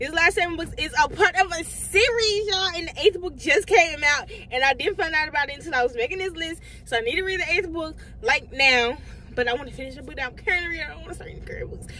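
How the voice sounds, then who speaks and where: Over noticeable background noise, a woman with an extremely high pitch speaks at a very fast pace in a raised, projected voice, her loudness swinging widely. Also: lively intonation. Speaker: book vlogger. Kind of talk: casual chat.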